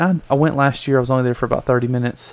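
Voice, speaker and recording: At a medium pitch, a man speaks with fairly even intonation. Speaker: podcast host. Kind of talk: casual solo podcast talk. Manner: rambling.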